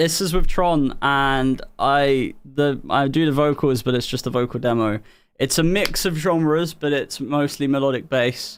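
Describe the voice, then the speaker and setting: With a southern English accent, a man speaks at a fairly slow pace with fairly high pitch, ordinary pitch variation and very even loudness. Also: very clean recording, silent background. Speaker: music producer and streamer. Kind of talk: casual chat. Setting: live stream.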